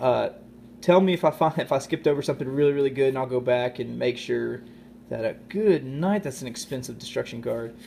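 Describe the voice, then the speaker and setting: Fairly quick speech from a man with a dark, mellow tone, medium pitch and ordinary pitch variation. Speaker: YouTube card-opening host. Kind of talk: casual unboxing commentary. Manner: fast.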